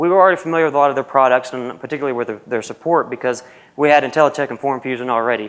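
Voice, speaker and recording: With a Southern US accent, a man talks at a fairly high pitch with ordinary pitch variation. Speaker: university programmer analyst. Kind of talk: conference presentation. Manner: casual, with frequent fillers.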